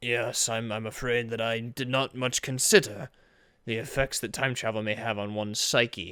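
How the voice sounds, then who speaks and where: On a very clean recording with a silent background, a man does a raspy put-on character voice at medium pitch and a moderate pace. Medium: machinima. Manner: calm, measured and fatherly.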